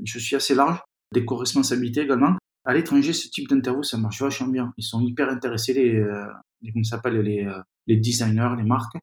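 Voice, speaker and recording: A man's medium-pitched voice, fairly even in intonation, at a fairly quick pace. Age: 40s. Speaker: magazine founder and editor. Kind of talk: interview. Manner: halting.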